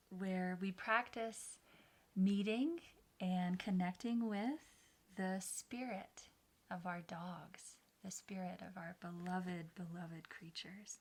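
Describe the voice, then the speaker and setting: Somewhat breathy, a woman speaks at a fairly slow pace in a medium pitch. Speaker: meditation guide. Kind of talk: casual talk to camera.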